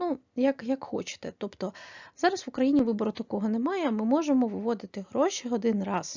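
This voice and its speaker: An unremarkable speaking voice from a woman, fairly high in pitch, with lively intonation at a moderate pace. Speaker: online selling tutorial creator. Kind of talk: tutorial.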